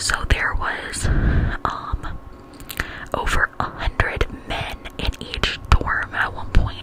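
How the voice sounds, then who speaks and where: Whispering with an American accent, a woman speaks over noticeable background noise. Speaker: ASMR content creator. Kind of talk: casual vlog talk to camera, tour narration. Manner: whispered, soft-spoken.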